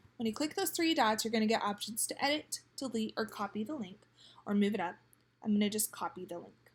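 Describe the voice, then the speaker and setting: A woman speaks at a fairly quick pace in a somewhat breathy, fairly high voice with lively intonation. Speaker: teacher. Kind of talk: tutorial.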